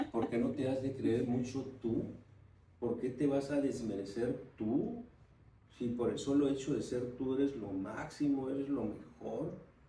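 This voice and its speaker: A man of medium pitch speaks at a fairly slow pace with ordinary pitch variation. Audible room echo and noticeable background noise fill the recording. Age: 70s. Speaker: politician. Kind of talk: interview.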